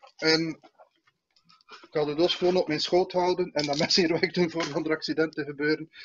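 A man's fairly high, monotone voice with flat intonation, a fairly quick pace and long, frequent pauses, over noticeable background noise. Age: 40s. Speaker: comedian, show host. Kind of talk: casual chat. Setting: video call. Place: home room. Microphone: video call.

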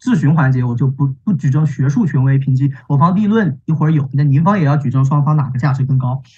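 A man at a very fast pace with hardly any pauses, fairly high in pitch and somewhat breathy, with ordinary pitch variation, very even loudness and a quiet background. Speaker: university student debater. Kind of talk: competitive debate. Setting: video call. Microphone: video call.

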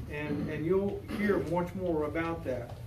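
The man speaks at a very slow pace. Light background noise and audible room echo are present. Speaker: pastor leading a Bible study. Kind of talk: prayer, then informal teaching. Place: hall. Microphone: camera far.

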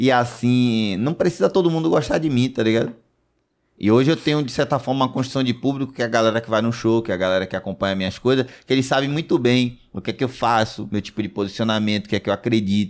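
A man talks very fast at a medium pitch with ordinary pitch variation. The recording is very clean with a silent background. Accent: Bahian. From Bahia, Brazil. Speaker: comedian. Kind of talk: casual chat.

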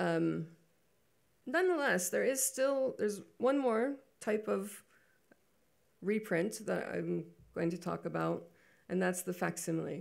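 Against a quiet background, the speaker talks at a very slow pace with long, frequent pauses. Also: woman. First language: English (speaking Spanish). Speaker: photobook publisher and creative director. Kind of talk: lecture. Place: hall. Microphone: podium.

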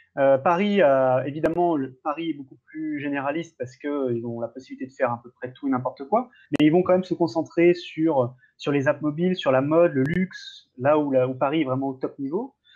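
A man with a plain, everyday voice speaks at a fairly quick pace, his pitch fairly high and varying in an ordinary way, against a quiet background. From France, Lyon; France. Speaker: startup ecosystem commentator. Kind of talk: casual chat. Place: home room. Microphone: video call.

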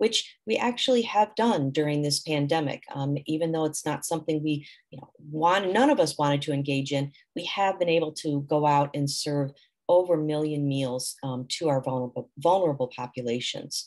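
A woman speaks with a very deep, low pitch at a moderate pace. The background is quiet. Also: ordinary pitch variation. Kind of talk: presentation. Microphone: webcam.

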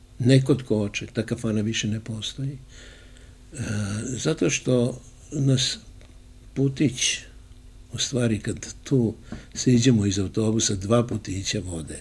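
Pausing long and often, a man speaks somewhat breathily at a medium pitch with ordinary pitch variation. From Serbia, Niš; Serbia. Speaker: journalist and former radio host; journalist, former radio host. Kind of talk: casual interview. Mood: warm, anecdotal storytelling. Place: home room. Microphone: handheld.

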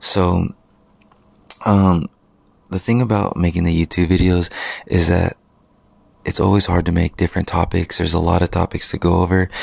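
Quiet and monotone, the speech comes with long, frequent pauses in a dry sound with no echo. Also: man, very deep, low pitch for a man, moderate pace, very even loudness. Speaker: wedding photographer and videographer, business owner. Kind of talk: casual vlog monologue. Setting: at home late at night. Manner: quiet, keeping voice low. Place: home room. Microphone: handheld.

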